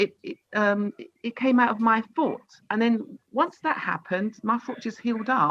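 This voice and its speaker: A normal speaking voice from a woman, fairly high-pitched, with lively intonation, big swings in loudness, a moderate pace and a dry, close sound with no echo. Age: 60s. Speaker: participant sharing health experience. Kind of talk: testimony.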